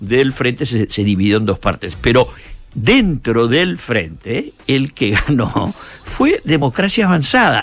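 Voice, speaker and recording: A man with a medium pitch speaks at a very slow pace. His pitch swings very widely, with music in the background. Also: very even loudness. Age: 70s. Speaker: economist and former government official. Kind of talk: radio interview.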